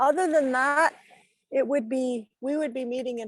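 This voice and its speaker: A woman with an ordinary speaking voice, ordinary pitch variation and a moderate pace. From northern Ontario, Canada. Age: 60s. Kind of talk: lecture. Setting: video call.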